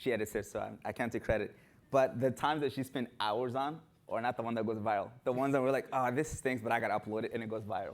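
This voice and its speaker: A man with a medium-pitched voice speaks at a very fast pace in an animated tone. The recording is very clean, with a silent background. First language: not English. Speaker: runner and content creator. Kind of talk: panel discussion.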